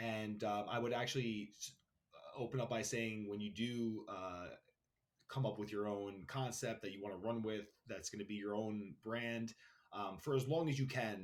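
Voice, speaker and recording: The speaker has a New York accent. The pace is moderate and the intonation fairly even. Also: man, fairly low pitch for a man. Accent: New York (Queens). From Queens, New York City. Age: 30s. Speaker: brand founder, entrepreneur. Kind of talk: podcast interview.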